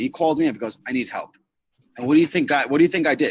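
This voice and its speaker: A man's fairly high, animated voice with very wide pitch swings, in a dry, close sound with no echo. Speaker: network marketing team leader. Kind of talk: motivational talk on a group call. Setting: online group video call. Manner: loud. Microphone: too quiet.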